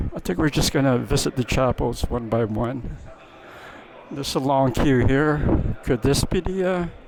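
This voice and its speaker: Soft-spoken, a man talks at a medium pitch and a moderate pace with ordinary pitch variation. Noticeable background noise can be heard. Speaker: travel vlogger. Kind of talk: travel vlog narration. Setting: inside a cathedral during mass. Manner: hesitant, many fillers.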